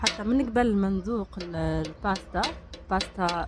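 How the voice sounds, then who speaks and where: A woman speaks in a Tunisian accent. Background noise is noticeable. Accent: Tunisian Arabic with French words. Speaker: food vlogger. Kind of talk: casual vlog review. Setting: in a restaurant.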